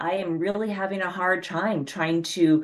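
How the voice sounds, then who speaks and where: A woman uses an ordinary speaking voice, fairly low in pitch, with fairly even intonation. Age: 50s. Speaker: sober coach and writer. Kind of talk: casual chat.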